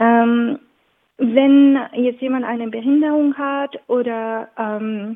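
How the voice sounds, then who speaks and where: Fairly even intonation goes with a non-native accent in this voice. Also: woman. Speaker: event organizer. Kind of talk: interview. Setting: phone call. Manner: halting, with many fillers.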